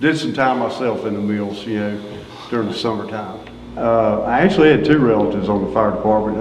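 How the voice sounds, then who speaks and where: Spoken in a North Carolina accent at a fairly quick pace, the voice shows ordinary pitch variation amid audible room echo and noticeable background noise. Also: man. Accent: North Carolina Southern. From North Carolina (Greensboro). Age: 60s. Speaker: retired fire chief. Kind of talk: oral history interview.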